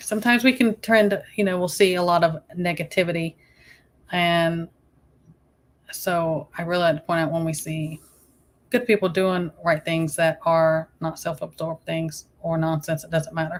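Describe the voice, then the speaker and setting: With a Southern US accent, a woman speaks at a moderate pace in a fairly low pitch, her pitch varying in an ordinary way. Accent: Southern US accent, she doubts it is thick. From US South. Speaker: YouTube live streamer. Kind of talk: casual live-stream chat.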